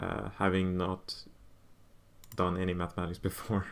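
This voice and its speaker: A man with a Swedish accent and a bright, sharp tone, on a very clean recording with a silent background. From southern Sweden. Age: 20s. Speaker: maths student streamer. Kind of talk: study livestream chat. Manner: halting.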